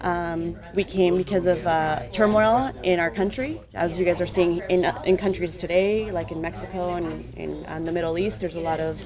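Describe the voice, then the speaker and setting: Over music in the background, a woman with a Spanish accent and fairly low pitch speaks at a moderate pace with hardly any pauses and ordinary pitch variation. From Colombia. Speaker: adult mentor. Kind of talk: mentoring talk to students.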